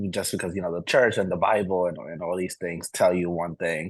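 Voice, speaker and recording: A man speaks with a Spanish accent in a very deep, low pitch. The background is quiet. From Dominican Republic. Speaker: alumnus. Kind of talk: casual interview.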